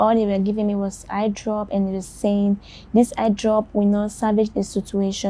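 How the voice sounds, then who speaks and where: Her voice is somewhat breathy, with a dark, mellow tone and a medium pitch for a woman. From Sierra Leone. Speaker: blind journalist. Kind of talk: interview testimony.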